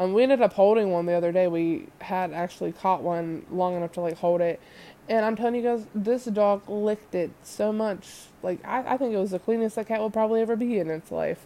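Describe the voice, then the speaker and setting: A woman speaks at medium pitch in a dark, mellow tone. Her pace is fairly quick, with hardly any pauses and ordinary pitch variation. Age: 20s. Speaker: podcast host. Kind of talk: casual solo monologue. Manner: animated.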